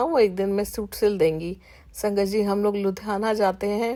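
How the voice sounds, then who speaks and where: A woman with a dark, mellow tone speaks at a medium pitch on a very clean recording with a silent background. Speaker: satsang speaker. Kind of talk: devotional testimony. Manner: halting, with fillers.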